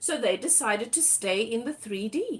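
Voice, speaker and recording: A woman with a South African accent and very wide pitch swings. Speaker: tarot reader. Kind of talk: live tarot reading. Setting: livestream.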